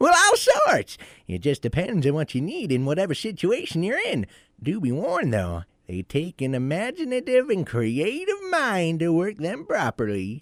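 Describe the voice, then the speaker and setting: A man's high-pitched, put-on character voice at a moderate pace, in a dry, close sound with no echo. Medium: audio drama. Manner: precise, slightly testy.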